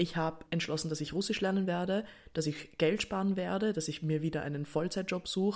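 At a moderate pace, a woman with a fairly low voice speaks in an animated tone with ordinary pitch variation. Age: 20s. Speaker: podcaster. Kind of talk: casual solo monologue.

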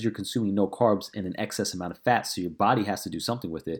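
A man speaks in an energetic tone on a very clean recording with a silent background. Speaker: fitness coach. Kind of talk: casual solo Q&A. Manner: fast talker; casual, energetic.

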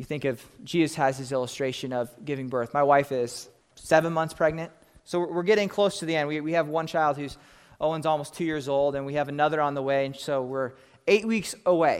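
An unremarkable speaking voice from a man with an American accent, fairly high in pitch, with ordinary pitch variation at a fairly quick pace. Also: very clean recording, silent background. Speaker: pastor. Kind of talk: sermon.

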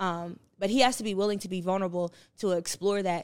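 A woman's medium-pitched voice with an American accent, fairly quick and monotone, flat in intonation, on a very clean recording with a silent background. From New Jersey. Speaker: podcast co-host. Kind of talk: casual chat.

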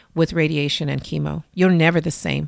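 A woman with an American accent speaks in an ordinary speaking voice, fairly low in pitch, with fairly even intonation at a moderate pace. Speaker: breast cancer survivor and adoptive mother. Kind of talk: interview testimony. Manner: chatty storyteller, laughs often.

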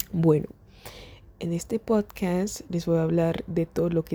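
A woman speaks with a dark, mellow tone at fairly low pitch. Her intonation stays fairly even. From Germany. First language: German (speaking Spanish). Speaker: podcaster. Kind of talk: casual monologue. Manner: halting.

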